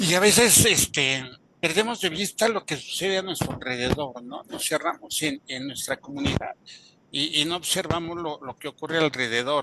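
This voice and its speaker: A man's fairly high voice with lively intonation, set against noticeable background noise. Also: moderate pace. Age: 60s. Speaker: webinar participant. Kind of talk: audience comment in online webinar. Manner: halting, many fillers.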